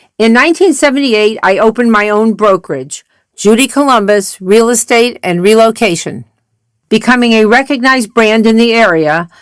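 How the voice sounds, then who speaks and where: A woman with a Midwestern accent and a fairly high pitch, at a moderate pace with ordinary pitch variation. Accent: American Midwest. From US Midwest, Akron, Ohio. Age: 80s+. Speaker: retired real estate broker and singer. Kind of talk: scripted narration.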